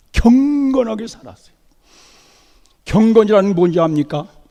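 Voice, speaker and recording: The voice moves at a fairly slow pace with a dark, mellow tone and lively intonation. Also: man. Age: 80s+. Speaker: visiting pastor. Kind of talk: sermon. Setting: church.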